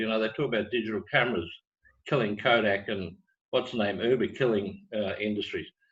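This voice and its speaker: Speaking with an Australian accent, a man sounds somewhat breathy. His pace is fairly quick. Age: 60s. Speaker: business training executive. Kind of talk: webinar talk.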